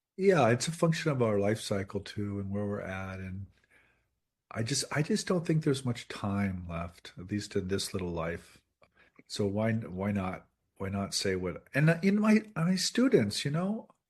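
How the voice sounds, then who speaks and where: A man speaks at a fairly slow pace in a fairly low pitch, his somewhat breathy voice making very wide pitch swings over a quiet background. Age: 60s. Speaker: professor and author. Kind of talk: interview conversation.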